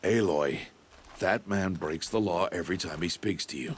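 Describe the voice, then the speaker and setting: A man puts on a character voice that is raspy and very deep, with ordinary pitch variation. He keeps a moderate pace. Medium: video game. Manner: grave, terse, measured.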